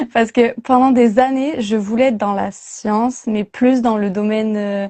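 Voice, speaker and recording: A woman's fairly high voice moves at a fairly slow pace, its intonation fairly even. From southwest France. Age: 20s. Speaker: marine biology student. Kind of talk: interview. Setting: livestream. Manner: hesitant, many fillers.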